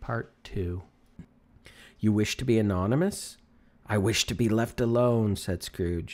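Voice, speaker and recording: This is an ordinary speaking voice at a fairly slow pace. Pitch varies in an ordinary way. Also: man. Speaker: voice-over artist. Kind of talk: audiobook reading.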